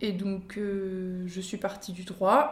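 With audible room echo behind her, a woman speaks at a medium pitch in a monotone, flat intonation, her voice somewhat breathy. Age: 20s. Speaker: podcast guest sharing personal story. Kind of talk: personal testimony in casual chat. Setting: at the host's parents' home. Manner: hesitant, many fillers and repetitions.

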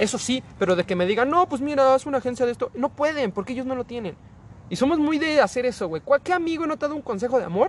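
A man with a Mexican accent talks at a very fast pace, his pitch extremely high. His intonation is lively. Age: 20s. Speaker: podcast guest. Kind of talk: casual chat.

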